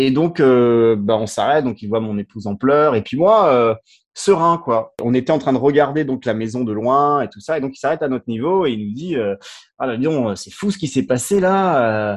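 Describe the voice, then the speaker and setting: Over a quiet background, a man talks at a medium pitch with lively intonation. His loudness swings widely. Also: moderate pace. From France, of French-African heritage. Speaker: storyteller sharing life experience. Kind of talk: personal testimony. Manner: halting, many repetitions and fillers.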